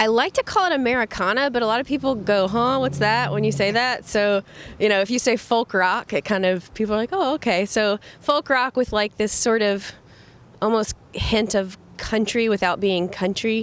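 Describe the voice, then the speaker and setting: Speaking at a moderate pace, a woman has a fairly high pitch with ordinary variation. Her loudness stays very even. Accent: slight Southern. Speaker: folk rock singer. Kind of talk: interview. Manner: casual, hesitant.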